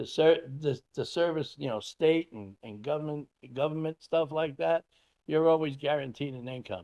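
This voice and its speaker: Dark and mellow in tone, the voice moves at a moderate pace with big swings in loudness and a dry, close sound with no echo. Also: man, fairly high pitch for a man, ordinary pitch variation. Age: 60s. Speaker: farmer and animal rescuer. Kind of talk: interview. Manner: halting.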